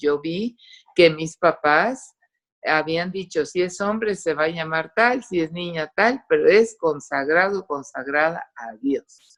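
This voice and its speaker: A woman with an English accent, fairly low pitch and lively intonation, at a very slow pace. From Costa Rica, raised in English until moving to Mexico at 8-9. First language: English (speaking Spanish). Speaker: testimony giver, doctor. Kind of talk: testimony. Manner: animated.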